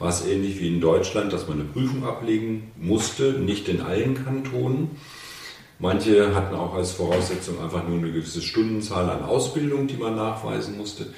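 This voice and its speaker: Over noticeable background noise and audible room echo, a man speaks at a fairly low pitch and moderate pace with ordinary pitch variation. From northern Germany, Hannover. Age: 60s. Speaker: physiotherapist. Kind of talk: casual interview.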